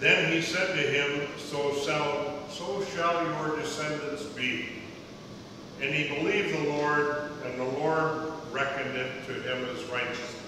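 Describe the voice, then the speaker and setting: A man's fairly slow, fairly even delivery, with strong room echo and noticeable background noise. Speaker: scripture reader at lectern. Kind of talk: scripture reading. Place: church.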